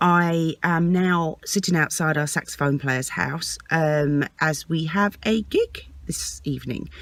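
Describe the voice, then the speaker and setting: A woman speaks very slowly with an English accent, hardly pausing at all. The recording is very clean, with a silent background. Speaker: vlogger and singer. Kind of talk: vlog. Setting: parked outside a house, early morning.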